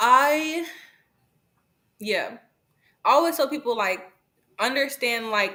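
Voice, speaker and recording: With ordinary pitch variation, a woman talks in a bright, sharp tone. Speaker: book influencer. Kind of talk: interview. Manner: fast; casual.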